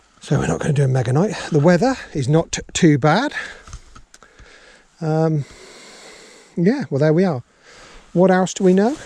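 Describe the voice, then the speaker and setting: Against noticeable background noise, a man with a fairly high pitch and lively intonation speaks at a moderate pace, leaving long, frequent pauses. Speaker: fishing vlogger. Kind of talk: casual vlog talk to camera. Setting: outdoors at a riverbank.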